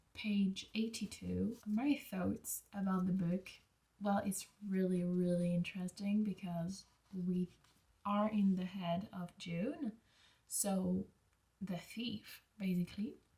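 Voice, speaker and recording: Somewhat breathy and dark, mellow in tone, a woman speaks at a medium pitch in monotone, flat intonation. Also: very slow pace. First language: not English. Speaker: book vlogger. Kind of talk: casual vlog monologue. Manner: casual, hesitant at times.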